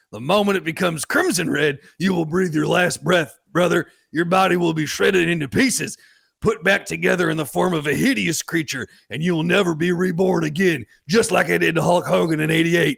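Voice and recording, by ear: A man's put-on character voice, fairly high in pitch and fairly bright in tone, with vocal fry, a slightly husky edge, fairly even intonation and a moderate pace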